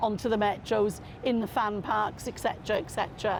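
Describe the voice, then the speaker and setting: This woman speaks with a Welsh accent at a moderate pace. Her pitch is fairly high and her intonation fairly even. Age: 60s. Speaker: football fan. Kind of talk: interview testimony.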